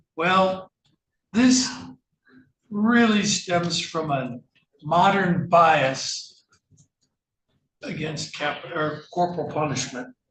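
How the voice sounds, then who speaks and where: Heard with audible room echo, a high-voiced man speaks very slowly, with lively intonation and long, frequent pauses. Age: 70s. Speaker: defense attorney. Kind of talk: courtroom argument.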